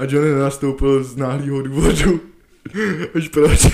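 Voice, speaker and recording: Talking at a moderate pace and medium pitch, a man has an ordinary speaking voice. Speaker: podcast co-host. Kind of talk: casual chat.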